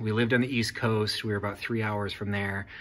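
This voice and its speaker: The man speaks at a fairly low pitch with monotone, flat intonation. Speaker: vintage shopping vlogger. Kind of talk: casual vlog commentary. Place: shop. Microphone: phone near.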